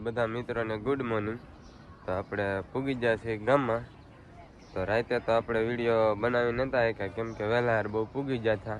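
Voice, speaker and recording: This man talks in a flat monotone at a medium pitch. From Gujarat, India (Saurashtra village). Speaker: vlogger. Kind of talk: casual travel vlog. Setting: travelling by bus and rickshaw, outdoors.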